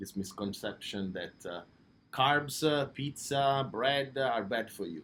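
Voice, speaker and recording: A man with an Italian accent at a fairly slow pace and medium pitch, lively in intonation and with big swings in loudness. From Italy, Naples. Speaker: pizzeria owner. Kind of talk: interview. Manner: hesitant, many fillers.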